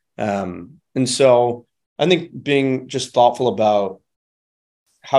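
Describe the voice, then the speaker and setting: This man has a dark, mellow tone and a Midwestern American accent. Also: quiet background. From Michigan, suburbs of Detroit. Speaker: angel investor and startup operator. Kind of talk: interview conversation. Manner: casual, many fillers and repeated words.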